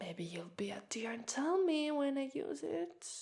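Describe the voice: A woman's put-on character voice with an Italian accent, high and slightly mellow, fairly slow, with big pitch swings and vocal fry. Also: very clean recording, silent background.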